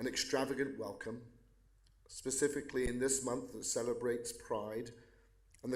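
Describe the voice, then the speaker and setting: A man with an English accent speaks with audible room echo. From England. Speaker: pastor. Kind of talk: prayer. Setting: county court meeting.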